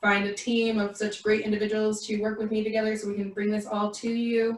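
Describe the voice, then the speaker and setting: With fairly high pitch, a woman speaks in a monotone with flat intonation. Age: 20s. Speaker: community organizer and mental health professional. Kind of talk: self-introduction at a community forum. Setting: livestream video call.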